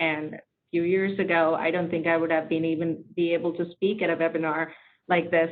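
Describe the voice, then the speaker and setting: In a non-native accent, this voice moves at a fairly quick pace with monotone, flat intonation and very even loudness. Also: woman, fairly low pitch for a woman. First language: not English. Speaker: tech leader, webinar panelist. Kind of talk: panel discussion.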